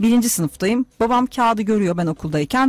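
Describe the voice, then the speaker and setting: A woman with a fairly high voice, at a fairly quick pace, with very wide pitch swings. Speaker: radio host and astrologer. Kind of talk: casual chat. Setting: studio. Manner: animated.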